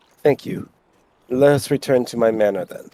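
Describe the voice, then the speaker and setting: A man puts on a raspy character voice at a medium pitch, with ordinary pitch variation and a moderate pace. The sound is dry and close, with no echo. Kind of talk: reading game dialogue aloud. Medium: game stream. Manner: formal, courteous.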